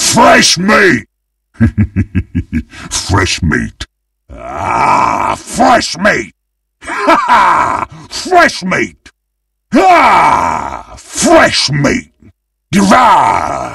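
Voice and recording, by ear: A man's put-on character voice, medium in pitch, with a bright, sharp tone, a slightly husky edge, vocal fry, very wide pitch swings, a very slow pace and long, frequent pauses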